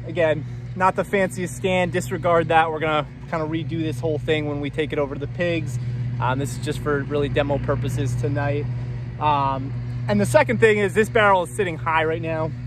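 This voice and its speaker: A man speaks fairly quickly in a fairly high pitch. Audible room echo and noticeable background noise surround him. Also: ordinary pitch variation. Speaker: farmer. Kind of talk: tutorial. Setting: outdoors. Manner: loud.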